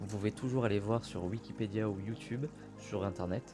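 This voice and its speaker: A man talks at a moderate pace in a fairly low voice. Music plays in the background. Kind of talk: casual talk to camera intro. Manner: whispered, soft, relaxing.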